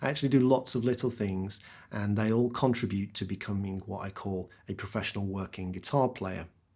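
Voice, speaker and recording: Talking at a fairly quick pace, a man has a fairly low pitch and a dark, mellow tone. His intonation is fairly even, and the recording is very clean with a silent background. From West Midlands, England. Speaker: professional guitarist. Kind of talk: talk to schoolchildren about careers. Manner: friendly, conversational.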